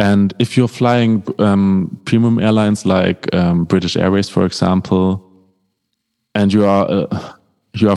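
With a dark, mellow tone, a man speaks at a fairly slow pace and fairly low pitch, his intonation fairly even and the sound dry and close with no echo. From Germany, North Rhine-Westphalia. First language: German. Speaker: keyboardist. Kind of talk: interview.

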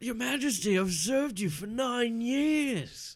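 A man puts on a character voice at an extremely high pitch. He speaks slowly with lively intonation.

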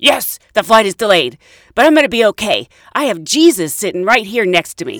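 In a gruff, put-on character voice, the speaker talks at a fairly quick pace with a fairly high pitch. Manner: loud.

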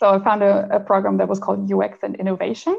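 A woman speaks with a German accent. Her pace is fairly quick. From Germany. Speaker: translator. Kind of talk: interview.

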